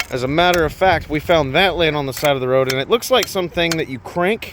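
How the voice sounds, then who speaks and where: Noticeable background noise sits behind this man. His pitch is fairly high and his intonation lively. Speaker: magnet fishing vlogger. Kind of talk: casual vlog commentary. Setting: outdoors on a river bridge. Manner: animated.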